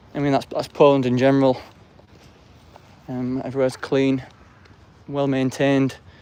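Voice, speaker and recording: In an English accent, a man speaks with monotone, flat intonation and long, frequent pauses. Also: medium pitch for a man, moderate pace. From England. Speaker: live streamer. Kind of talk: casual vlog commentary while walking. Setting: outdoors, walking through city streets and park.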